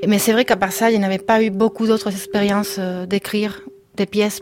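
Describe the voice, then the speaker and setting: A woman speaks at medium pitch and a moderate pace with monotone, flat intonation. Noticeable background noise runs underneath. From Spain. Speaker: composer and musician. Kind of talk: radio interview. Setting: studio. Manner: halting.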